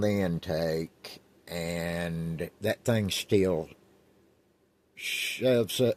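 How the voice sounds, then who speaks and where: A man speaks with ordinary pitch variation. The sound is dry and close, with no echo. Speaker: car hobbyist vlogger. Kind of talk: casual vlog. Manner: slow.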